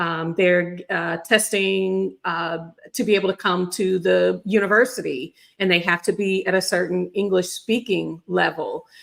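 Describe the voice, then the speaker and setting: A woman speaks at a moderate pace on a very clean recording with a silent background. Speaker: remote worker sharing job-search experience. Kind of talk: casual chat.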